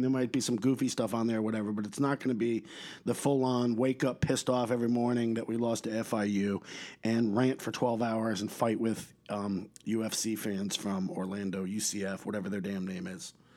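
On a very clean recording with a silent background, a man with an American accent speaks at a moderate pace in a medium pitch, with a dark, mellow tone and ordinary pitch variation. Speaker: podcast host. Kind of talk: casual rant, opinionated podcast monologue. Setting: home recording. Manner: animated, irreverent, profane.

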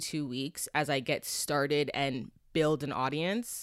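Loud and energetic in tone, a woman with a Canadian accent is heard on a very clean recording with a silent background. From Canada, Toronto. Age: 20s. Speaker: podcast host. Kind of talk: casual solo monologue. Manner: loud, energetic.

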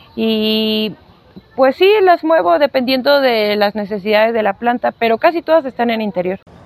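A woman's fairly high voice carries lively intonation. The sound is dry and close with no echo, though noticeable background noise is present. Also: moderate pace. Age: 30s. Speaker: plant enthusiast and content creator. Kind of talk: casual interview.

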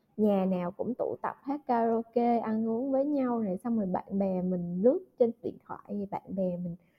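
A woman talks at a fairly slow pace with hardly any pauses, her fairly high, somewhat breathy voice showing ordinary pitch variation. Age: 20s. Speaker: podcast host. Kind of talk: casual chat.

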